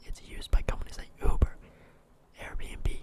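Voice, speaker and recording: A man whispers. Noticeable background noise is present. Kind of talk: ASMR stock market review. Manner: whispered.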